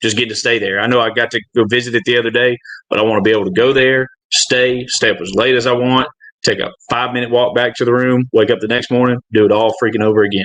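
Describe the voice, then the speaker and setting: Talking at a very fast pace, a man speaks in a Southern US accent. His pitch sits in the medium range. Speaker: gambling podcast guest. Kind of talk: casual chat.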